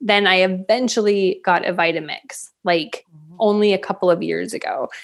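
A woman's unremarkable speaking voice, medium in pitch, at a moderate pace with fairly even intonation over a quiet background. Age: 40s. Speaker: plant-based meal plan business co-founder. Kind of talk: casual interview chat. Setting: podcast interview.

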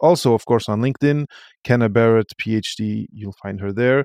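In a very clean recording with a silent background and a dry, close sound with no echo, a man speaks at medium pitch with ordinary pitch variation and a non-native accent. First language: French. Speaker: podcast host. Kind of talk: interview conversation.

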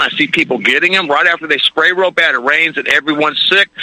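With an American accent, a man talks at a fairly quick pace using fairly even intonation. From Florida. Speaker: caller. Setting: phone call, outdoors.

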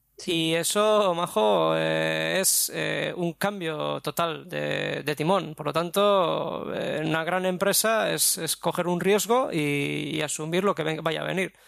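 Noticeable background noise sits under a man's voice. He talks at a very slow pace with hardly any pauses. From Basque Country, Spain. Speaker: graphic designer and business owner. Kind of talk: interview.

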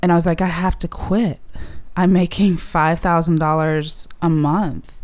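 A woman's plain, everyday voice at a fairly slow pace. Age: 30s. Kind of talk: casual interview. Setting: in person, same room as host.

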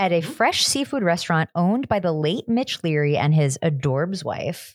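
Here a woman speaks at a fairly low pitch. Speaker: podcast co-host. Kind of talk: casual chat. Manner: animated.

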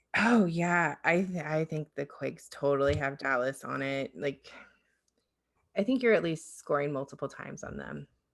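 A woman with an American accent and a very deep, low pitch, vocal fry, lively intonation, big swings in loudness and a moderate pace, over a quiet background. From US South, southern Alabama. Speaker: soccer podcast host. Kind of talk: casual chat.

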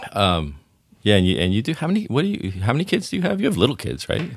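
Vocal fry runs through this man's speech, which moves at a fairly quick pace with very wide pitch swings. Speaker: podcast host. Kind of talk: casual interview conversation. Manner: animated, chatty.

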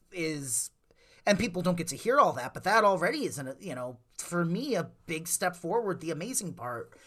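A man with an Upper Midwest accent, high in pitch, bright and sharp in tone, with very wide pitch swings at a moderate pace. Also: big swings in loudness. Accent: Upper Midwest American. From Lake Geneva, Wisconsin. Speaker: mind reader and entertainer. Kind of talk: casual interview chat.

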